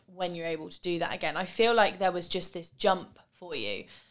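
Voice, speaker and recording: A woman talks in a normal speaking voice at medium pitch with fairly even intonation. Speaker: podcast host. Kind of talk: casual interview chat. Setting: home studio.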